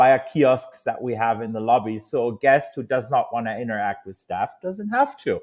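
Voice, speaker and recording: A man with a German accent speaks at a moderate pace and a medium pitch. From Germany. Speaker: hotel industry executive. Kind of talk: interview.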